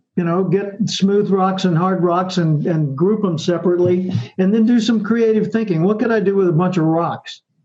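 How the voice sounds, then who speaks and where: In a room with audible echo, a man with an American accent and a high voice speaks at a moderate pace with very even loudness and fairly even intonation. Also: hardly any pauses. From US South. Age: 70s. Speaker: professional speaker and author. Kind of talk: interview.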